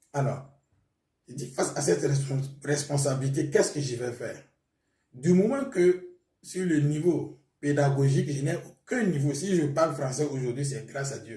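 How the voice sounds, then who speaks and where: A man with a fairly high pitch speaks at a moderate pace, his voice somewhat breathy and dark, mellow in tone, with ordinary pitch variation. His loudness swings widely, and audible room echo surrounds him. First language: Mooré (speaking French). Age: young. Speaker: pastor. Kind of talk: testimony.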